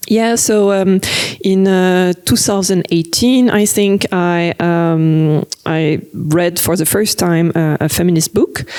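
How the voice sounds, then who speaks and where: A woman with a French accent speaks at a very slow pace and a fairly low pitch. Her pitch variation is ordinary and her loudness very even. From France. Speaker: cartoonist. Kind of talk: interview. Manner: hesitant, many fillers.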